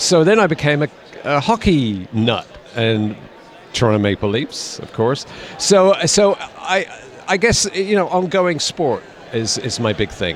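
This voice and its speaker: A man speaks at a fairly slow pace with a fairly high pitch and very wide pitch swings. Long, frequent pauses break his speech against noticeable background noise. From United Kingdom. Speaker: actor. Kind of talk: interview answer.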